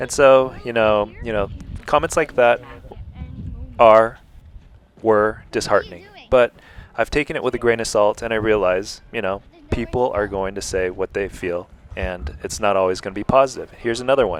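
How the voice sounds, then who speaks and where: With a calm tone and long, frequent pauses, a man speaks at medium pitch and a moderate pace, using ordinary pitch variation. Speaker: YouTuber. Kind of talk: vlog narration.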